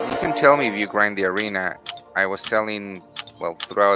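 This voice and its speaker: A fairly low-pitched man with a Spanish accent and fairly even intonation, amid noticeable background noise. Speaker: gaming streamer. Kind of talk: gameplay livestream commentary. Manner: casual, hesitant with many fillers.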